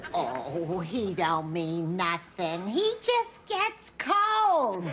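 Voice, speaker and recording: A woman's put-on character voice at a medium pitch, very slow pace, with clear background noise. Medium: short film. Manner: rambling, earnest.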